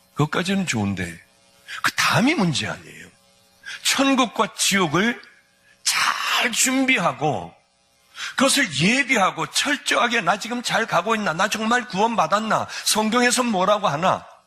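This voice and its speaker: Over music in the background, a man with a high pitch speaks at a fairly slow pace in an animated tone with lively intonation. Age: 60s. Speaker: pastor. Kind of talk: sermon.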